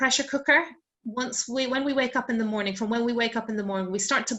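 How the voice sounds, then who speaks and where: A woman talks in an Irish accent at a fairly quick pace. Her pitch variation is ordinary. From Ireland. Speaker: sleep expert. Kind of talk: online wellbeing talk. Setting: video call.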